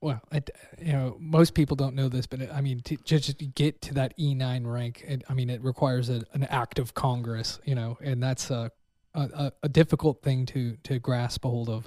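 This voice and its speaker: A man with an American accent, somewhat breathy, with a dark, mellow tone, fairly even intonation and a moderate pace, in a dry, close sound with no echo. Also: medium pitch for a man, very clean recording, silent background. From Pennsylvania. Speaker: podcast host. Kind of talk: interview.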